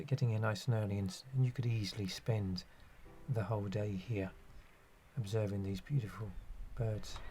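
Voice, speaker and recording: Over music in the background, a man with a fairly low pitch speaks at a moderate pace with fairly even intonation and long, frequent pauses. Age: 60s. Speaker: nature photographer. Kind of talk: narration. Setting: outdoors. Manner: halting.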